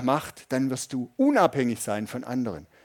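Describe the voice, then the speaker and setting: A man talks in a normal speaking voice at a fairly high pitch and moderate pace. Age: 50s. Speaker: pastor. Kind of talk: sermon. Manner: conversational, audience-addressing.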